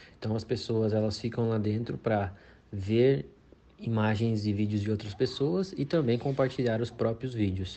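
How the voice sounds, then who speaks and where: At a moderate pace, a man with an ordinary speaking voice talks at medium pitch with ordinary pitch variation. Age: 20s. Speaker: senior software developer. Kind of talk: expert explanation.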